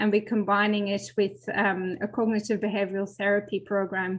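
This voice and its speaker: Speaking in a Flemish accent, a woman holds a medium pitch with fairly even intonation. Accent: Belgian Flemish accent, lasting. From Belgium, Flemish region. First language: Flemish (Dutch). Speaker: professor and physiotherapist, falls researcher. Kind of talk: webinar panel discussion. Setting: live online webinar. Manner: halting, many fillers and repetitions.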